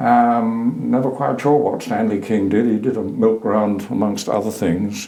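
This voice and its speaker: A man with a fairly low pitch at a moderate pace, with audible room echo. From Suffolk, eastern England. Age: 80s+. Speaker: retired teacher and lecturer. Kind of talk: oral history interview. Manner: hesitant, with fillers.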